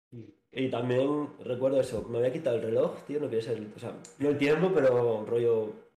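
A man with a dark, mellow tone and medium pitch varies it in an ordinary way amid audible room echo. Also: moderate pace. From Asturias, Spain (Navia). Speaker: author and former student sharing mental health experience. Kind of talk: casual interview, personal testimony.

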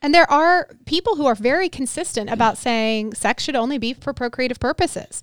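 A woman talks at a fairly quick pace with lively intonation and a high pitch. The sound is dry and close, with no echo. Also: hardly any pauses, very clean recording, silent background. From North America. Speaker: pastor. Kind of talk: casual chat.

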